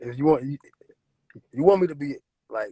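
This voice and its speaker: A man's somewhat breathy voice with ordinary pitch variation, the sound dry and close with no echo. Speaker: rapper. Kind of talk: casual interview.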